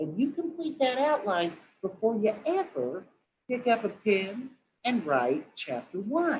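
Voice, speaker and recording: A woman with an American accent speaks at a fairly slow pace in a fairly high voice, her pitch swinging very widely. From southwest Missouri, Lawrence County and Springfield. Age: 60s. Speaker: novelist. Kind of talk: interview Q&A. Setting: webinar video call. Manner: animated.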